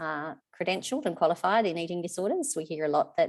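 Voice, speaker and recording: A woman speaks at a fairly quick pace with an Australian accent. Her pitch is very deep and low. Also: quiet background. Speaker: charity representative. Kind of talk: webinar presentation. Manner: fast.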